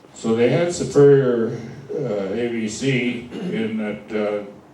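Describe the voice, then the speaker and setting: At a very slow pace, a man speaks with a medium pitch and ordinary pitch variation over noticeable background noise. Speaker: car radio repairman. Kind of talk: lecture to a club audience.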